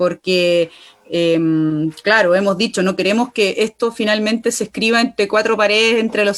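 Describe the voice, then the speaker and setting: Here is a plain, everyday voice: a woman with a fairly high pitch and ordinary pitch variation. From Chile, Aconcagua Valley. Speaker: constitutional convention candidate, environmental activist. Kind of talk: political interview.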